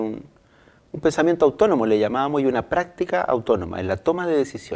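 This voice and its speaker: With a dark, mellow tone, a man speaks in a lively intonation. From Chile. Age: 50s. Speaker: lawyer and Mapuche political spokesman; lawyer, Mapuche political spokesman. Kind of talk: interview. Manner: halting. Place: studio. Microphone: lapel.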